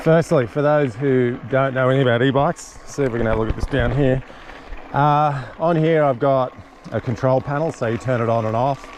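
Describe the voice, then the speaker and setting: Over noticeable background noise, a man with an Australian accent talks at a fairly quick pace in a medium pitch with fairly even intonation. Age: 60s. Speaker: motorcycle and mountain bike vlogger. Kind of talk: casual vlog narration while riding. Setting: outdoors on a mountain bike trail. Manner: relaxed, conversational.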